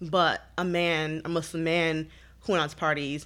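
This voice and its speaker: A woman with an American accent speaks at a fairly slow pace in a fairly low pitch, her tone bright and sharp. Her intonation is monotone and flat, and the recording is very clean with a silent background. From US Midwest, Detroit. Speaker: activist, model and author. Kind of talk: casual interview chat. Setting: in-person recording in New York.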